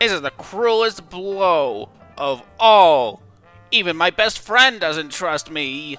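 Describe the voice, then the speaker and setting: A put-on character voice from a man, high-pitched and very slow, with very wide pitch swings over faint music in the background. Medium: dub. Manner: melodramatic, self-pitying.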